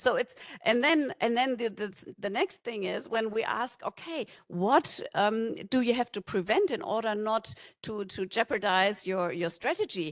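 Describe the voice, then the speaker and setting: A woman speaks fairly slowly with lively intonation. The sound is dry and close, with no echo. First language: German. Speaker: conference speaker from a non-profit. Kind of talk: conference talk. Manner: halting.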